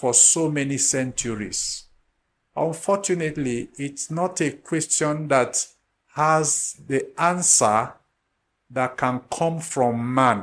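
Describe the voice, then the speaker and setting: A man talks at a very slow pace with a fairly high pitch and ordinary pitch variation. The recording is very clean, the background silent. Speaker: spiritual teacher. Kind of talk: lecture. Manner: unhurried.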